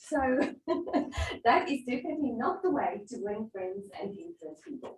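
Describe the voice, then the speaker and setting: Speaking with a South African accent, a woman uses a high pitch with very wide pitch swings. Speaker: workshop facilitator. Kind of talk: interactive workshop presentation.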